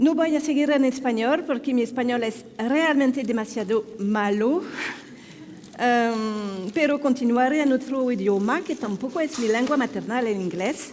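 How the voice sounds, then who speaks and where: A woman with a French accent speaks at a fairly slow pace in a high voice, with audible room echo and noticeable background noise. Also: ordinary pitch variation. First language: French (speaking Spanish). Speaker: neurologist. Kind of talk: conference talk. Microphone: microphone problem.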